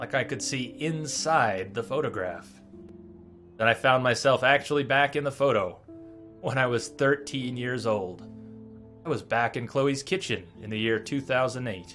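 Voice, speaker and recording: Over music in the background, a man talks with ordinary pitch variation. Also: medium pitch for a man, moderate pace. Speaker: streamer. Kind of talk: storytelling narration.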